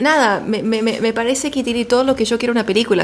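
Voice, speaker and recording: A woman with an Argentine accent, fairly high-pitched and at a fairly quick pace. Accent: Argentine Spanish, near native. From US, Washington DC. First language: English (speaking Spanish). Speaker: podcast guest. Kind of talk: casual chat.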